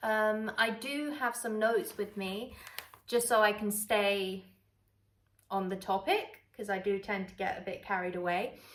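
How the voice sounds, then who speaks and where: A woman with a London accent, fairly slow, with fairly even intonation. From London, England. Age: 20s. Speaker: travel vlogger. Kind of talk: casual chat. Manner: chatty, relaxed.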